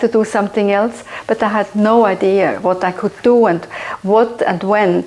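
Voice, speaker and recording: A woman at a moderate pace, monotone and flat, with noticeable background noise. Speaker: conservationist. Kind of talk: documentary interview. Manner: halting.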